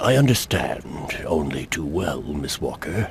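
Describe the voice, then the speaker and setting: A put-on character voice moves fairly slowly through very wide pitch swings. Background noise is clearly heard. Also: man, very deep, low pitch for a man. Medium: video game. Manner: formal, measured, polite.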